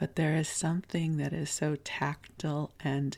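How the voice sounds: A soft-spoken woman's low, breathy, croaky voice with vocal fry, a slightly mellow tone, fairly even intonation and a fairly slow pace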